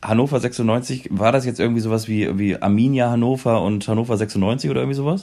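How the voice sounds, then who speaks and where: An unremarkable speaking voice with hardly any pauses. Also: man, medium pitch for a man, ordinary pitch variation. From northern Germany, Kiel. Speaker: football podcast co-host. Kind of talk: casual chat.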